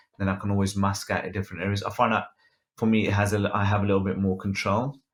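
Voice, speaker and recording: Against a quiet background, a man with a Birmingham accent speaks very fast in a fairly low, somewhat breathy voice with monotone, flat intonation. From England. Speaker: photographer and photo editing instructor; photo editing instructor. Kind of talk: tutorial with live Q and A. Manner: casual, many filler ums. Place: home room. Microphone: webcam.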